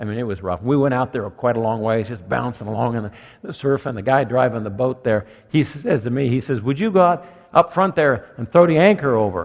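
Using a normal speaking voice, a man talks at a fairly quick pace, medium in pitch with lively intonation. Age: 60s. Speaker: pastor. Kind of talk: sermon. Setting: church.

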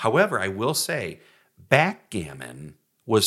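On a very clean recording with a silent background, a man speaks at a very slow pace in a bright, sharp tone with vocal fry. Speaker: podcast host. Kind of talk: casual comedic banter. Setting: studio.

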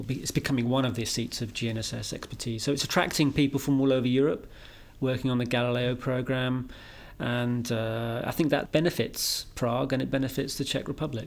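Speaking at a fairly quick pace with a British accent, a man holds a medium pitch in monotone, flat intonation on a very clean recording with a silent background. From Britain. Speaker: EU space policy expert and marathon runner. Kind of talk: interview.

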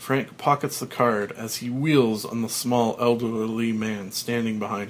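This unforced reading voice holds a fairly even intonation.

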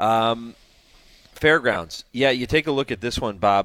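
Heard in a very clean recording with a silent background, a man uses an ordinary speaking voice with ordinary pitch variation at a moderate pace. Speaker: racing analyst. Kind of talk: casual analysis, reading race results and odds.

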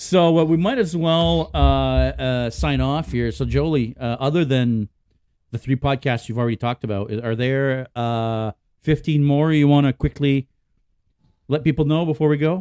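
Medium pitch from a man, with ordinary pitch variation and a moderate pace. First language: French. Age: 40s. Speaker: podcast host. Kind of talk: casual chat. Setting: live-streamed video call.

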